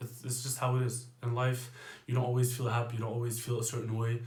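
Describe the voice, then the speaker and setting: A quiet, somewhat breathy man's voice at medium pitch, monotone and flat, with audible room echo. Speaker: fitness coach. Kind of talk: casual monologue.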